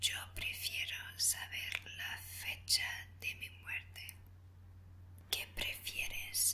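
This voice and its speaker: A whispering woman at a very slow pace, with noticeable background noise. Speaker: ASMR creator. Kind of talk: ASMR would-you-rather Q&A. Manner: whispered, soft.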